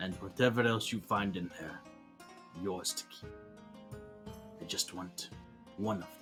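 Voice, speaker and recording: A gravelly, put-on character voice speaks with long, frequent pauses. Clear music plays in the background. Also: man, fairly low pitch for a man, moderate pace. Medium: actual play. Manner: gruff, earnest.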